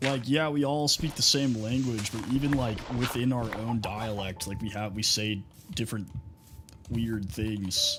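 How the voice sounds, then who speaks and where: A man with a Southern US accent speaks at a fairly slow pace. Music plays behind him. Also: medium pitch for a man, ordinary pitch variation. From Texas, US. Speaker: gaming streamer. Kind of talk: casual chat. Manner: casual, filler-heavy.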